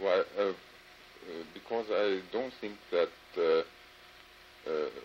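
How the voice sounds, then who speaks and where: A man with a German accent at a very slow pace, over noticeable background noise. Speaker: German embassy official. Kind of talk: interrogation. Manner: halting, many fillers.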